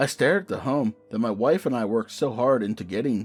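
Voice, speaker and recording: With music in the background, a man speaks at medium pitch with lively intonation. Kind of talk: horror story narration.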